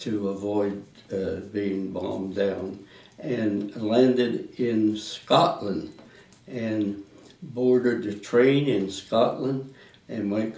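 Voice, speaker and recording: At a very slow pace, a man with a Midwestern American accent talks with ordinary pitch variation. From Indiana, USA. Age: 90s. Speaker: World War Two army veteran. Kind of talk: oral history interview answer.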